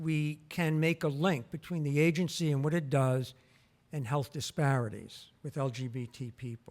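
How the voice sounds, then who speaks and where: Speaking at a moderate pace, a man has an ordinary speaking voice with a fairly high pitch. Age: 60s. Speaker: health researcher and former council chair. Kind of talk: public talk. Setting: museum auditorium with audience.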